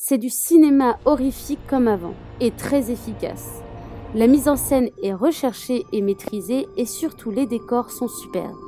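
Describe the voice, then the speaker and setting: Music plays in the background as a woman speaks at a high pitch and a fairly slow pace with lively intonation. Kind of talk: horror film summary narration.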